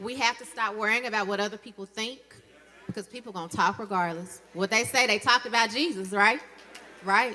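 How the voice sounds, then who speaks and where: A woman's fairly high voice in a Southern US accent, fairly quick, with ordinary pitch variation and noticeable background noise. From Mississippi, Jackson. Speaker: dentist and dental professor, guest speaker. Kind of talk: women's day church address.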